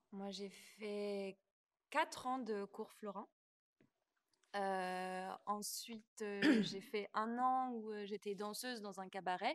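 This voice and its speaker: Very slow speech from a woman at medium pitch, broken by long, frequent pauses. Her intonation stays fairly even. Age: 20s. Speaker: stage actress and dancer. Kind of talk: interview.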